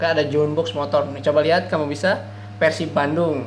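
A man speaks at a fairly high pitch. Light background noise and audible room echo are present. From Indonesia, West Java (Ciamis). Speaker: crypto project reviewer, YouTuber. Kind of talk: screen-share tutorial review. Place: home room.

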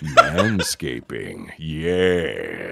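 A man uses a put-on character voice, very deep and low in pitch, over loud background noise. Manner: creepy.

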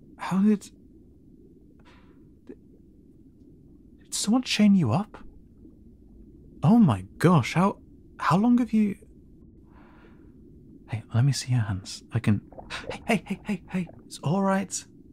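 Using a put-on character voice, a man speaks slowly in a high voice with big pitch swings, long and frequent pauses, a slightly mellow tone and a slightly husky edge.

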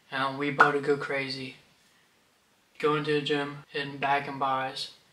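This man speaks in a monotone with flat intonation. There is audible echo in the room. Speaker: gym vlogger. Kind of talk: casual vlog chat. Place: home room. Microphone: phone near.

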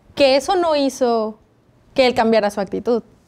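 A woman with a Mexican accent and a high pitch. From Mexico. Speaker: Bible study host. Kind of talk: Bible study discussion. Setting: studio. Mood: calm, earnest. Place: studio. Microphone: lapel.

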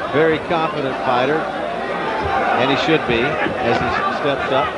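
Loud background noise surrounds a man whose voice sounds dry, with no echo. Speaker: boxing play-by-play announcer. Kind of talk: live commentary. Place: stadium. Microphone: headset.

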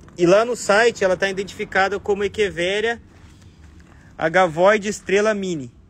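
A man talks at a moderate pace in a high voice, with an animated tone. The sound is dry with no echo, over light background noise. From Brazil. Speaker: succulent shop owner and channel host. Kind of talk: live plant showcase for followers. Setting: plant shop. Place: garden. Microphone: phone near.

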